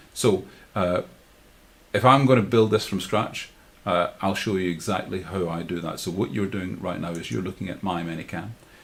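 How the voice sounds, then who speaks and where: A man speaks with a Glasgow accent. His pitch is very deep and low, with ordinary variation. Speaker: live streaming tutor. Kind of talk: tutorial. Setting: livestream with screen share. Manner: fast; halting, many fillers and repeats.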